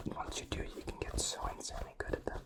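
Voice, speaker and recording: The speech is whispered at a fairly quick pace. There is noticeable background noise. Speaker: ASMR creator. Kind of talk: ASMR whispering. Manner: whispering.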